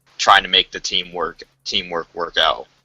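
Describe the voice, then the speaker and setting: Dry and close with no echo, a man's voice with an American accent comes through at a fairly slow pace. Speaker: gaming podcast host. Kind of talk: casual panel discussion.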